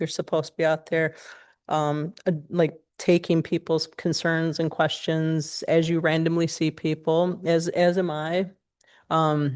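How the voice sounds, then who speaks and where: A woman's fairly low voice, fairly slow and flat in a monotone, against a quiet background. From Michigan, Pontiac. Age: 40s. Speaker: job candidate (city administrator). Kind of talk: job interview. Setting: city commission meeting. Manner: halting, many fillers.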